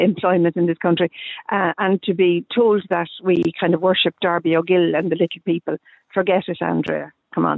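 Speaking fairly quickly with an Irish accent, a woman keeps her loudness very even in a fairly low voice. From Ireland. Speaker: radio caller. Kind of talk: radio phone-in. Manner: animated.

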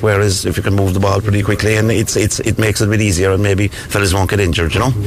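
A man with a Cork accent, fairly low-pitched and very fast, against noticeable background noise. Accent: Cork Irish. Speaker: football manager. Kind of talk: post-match interview.

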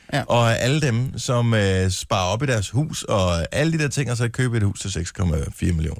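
The speaker has an ordinary speaking voice. The pace is moderate. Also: man, medium pitch for a man, lively intonation. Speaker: radio host. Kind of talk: casual chat. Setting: studio.

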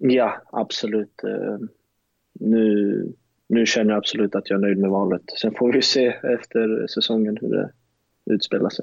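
A man talks at a fairly low pitch in a flat monotone. He leaves long, frequent pauses. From Sweden, Skåne (Lund). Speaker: professional footballer. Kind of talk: interview.

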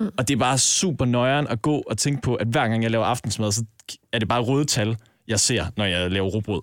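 A man with a normal speaking voice talks at a fairly quick pace and a medium pitch. His loudness stays very even, and his pitch variation is ordinary. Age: 20s. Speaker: podcast co-host, intern. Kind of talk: casual chat.

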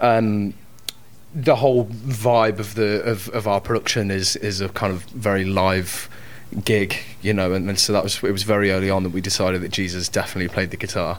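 Fairly quick speech with fairly even intonation amid noticeable background noise. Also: man, fairly low pitch for a man. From Coventry, England. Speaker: actor and musician. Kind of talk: casual chat.

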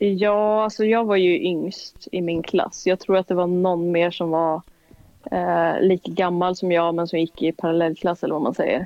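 In a normal speaking voice, a woman with a fairly low pitch talks at a moderate pace with fairly even intonation. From Dalsland, western Sweden. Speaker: police officer. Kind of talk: casual interview.

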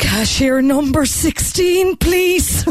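A female-sounding put-on character voice, breathy and high in pitch. Faint music plays in the background. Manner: stressed, dread-filled.

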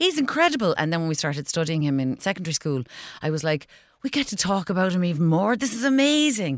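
In a Cork accent, a woman with a fairly low pitch talks at a very fast pace with very wide pitch swings, on a very clean recording with a silent background. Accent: Cork Irish. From Ireland, County Cork. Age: 40s. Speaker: actor and comedian. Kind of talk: casual interview.

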